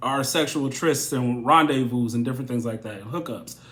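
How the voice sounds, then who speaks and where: Audible room echo surrounds a man at a medium pitch whose pitch varies in an ordinary way. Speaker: tarot reader. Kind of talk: tarot reading monologue.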